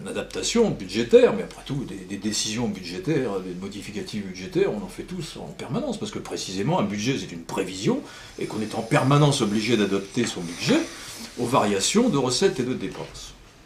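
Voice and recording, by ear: A man speaks at a fairly quick pace in a fairly low pitch, with big pitch swings. Audible room echo surrounds the voice.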